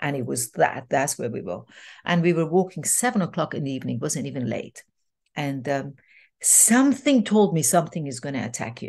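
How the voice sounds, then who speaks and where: Speaking at a fairly quick pace over a quiet background, a woman uses a very deep, low pitch with very wide pitch swings and vocal fry. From Iran. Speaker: transformational coach and speaker. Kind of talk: interview storytelling. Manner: animated.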